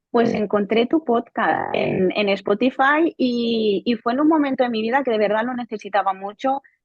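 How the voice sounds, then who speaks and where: This woman's voice sits fairly high, and her pitch varies in an ordinary way. She talks at a moderate pace with hardly any pauses. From Spain, Barcelona. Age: 20s. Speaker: software quality engineer, coaching client. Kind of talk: testimony interview. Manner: halting, with repetitions.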